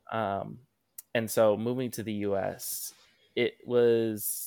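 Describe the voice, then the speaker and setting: An unremarkable speaking voice from a man, fairly low in pitch, with fairly even intonation and a very clean recording over a silent background. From US Pacific Northwest (Tacoma, Washington); early childhood in Malaysia. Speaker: activist. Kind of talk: casual chat.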